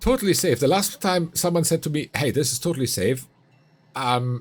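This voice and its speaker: A man speaks with vocal fry. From Finland. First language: Finnish. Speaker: streamer. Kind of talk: live gaming stream chat. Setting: home streaming corner.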